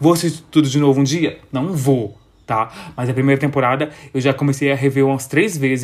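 At a moderate pace, a man speaks in a fairly high pitch with an animated tone. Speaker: podcast host. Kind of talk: casual solo monologue. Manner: animated, chatty with frequent laughs.

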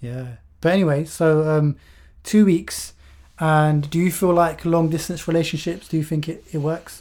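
With a normal speaking voice, a man talks at a fairly high pitch and moderate pace, using fairly even intonation on a very clean recording with a silent background. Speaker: podcast and YouTube co-host. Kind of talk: casual conversational podcast.

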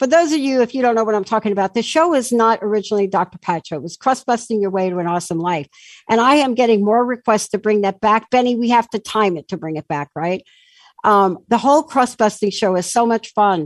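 Very fast, lively speech in an American accent, with a dry, close sound and no echo. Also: woman, fairly high pitch for a woman. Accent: sounds like New York, per a listener. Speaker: talk radio host. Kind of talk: talk radio interview. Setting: studio, radio show with video. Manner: animated.

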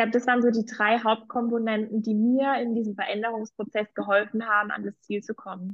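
A woman with a fairly high pitch talks at a fairly quick pace with hardly any pauses. Her intonation is monotone and flat. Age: 20s. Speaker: political coach, former party worker. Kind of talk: testimony.

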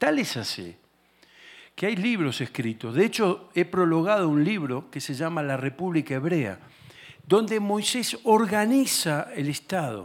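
A man with an Argentine accent speaks at a fairly slow pace in a high voice, his pitch swinging very widely. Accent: Argentine Spanish (Rioplatense). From Argentina. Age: 60s. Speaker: guest preacher and political ministry leader. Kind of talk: sermon. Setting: church service with congregation.

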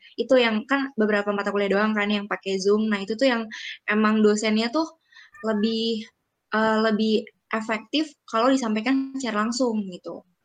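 Music plays in the background as a woman speaks at a moderate pace. Her fairly high voice has fairly even intonation. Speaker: student representative. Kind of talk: casual chat. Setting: recorded at home.

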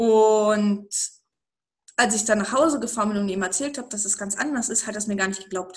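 A woman speaks at a fairly quick pace with a fairly high, somewhat breathy voice. Long, frequent pauses break up her speech. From eastern Germany. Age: 30s. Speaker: network marketing entrepreneur. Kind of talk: interview about life story.

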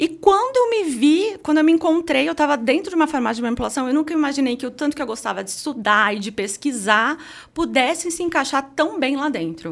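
A woman talks at a fairly quick pace with hardly any pauses. Her voice is high in pitch and makes very wide pitch swings. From Sorocaba, São Paulo state, Brazil. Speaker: pharmacist and entrepreneur. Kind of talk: casual interview chat.

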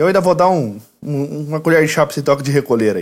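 In a very clean recording with a silent background, a man with an unremarkable speaking voice talks at a fairly quick pace with lively intonation. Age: 30s. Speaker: lawyer and university professor. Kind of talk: casual chat.

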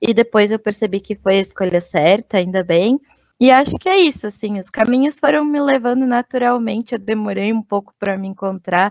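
In a dry, close sound with no echo, a woman with a plain, everyday voice talks at a moderate pace, her pitch fairly high with ordinary pitch variation. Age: 30s. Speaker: UX/UI designer. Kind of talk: casual chat.

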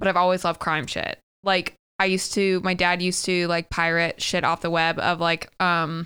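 On a very clean recording with a silent background, a woman with an American accent speaks at a fairly low pitch in a bright, sharp tone. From US South, Tennessee. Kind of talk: casual chat. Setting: in person with co-host. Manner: loud, excitable.

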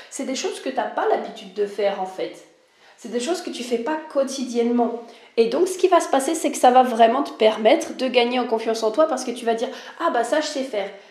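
A woman's high-pitched voice with lively intonation, big swings in loudness, and a fairly quick pace, plus audible room echo and noticeable background noise. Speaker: life and spiritual mentor, podcaster. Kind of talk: solo podcast monologue. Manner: casual, hesitant with many fillers.

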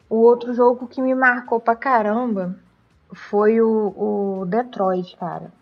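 A woman speaks at a very slow pace. Her pitch is fairly high, and her intonation stays fairly even. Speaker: podcast co-host. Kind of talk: casual chat.

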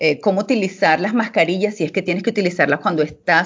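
A woman speaks very fast in a fairly low voice. Her pitch varies in an ordinary way. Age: 40s. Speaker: clinical pharmacology expert. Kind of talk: interview. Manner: halting.

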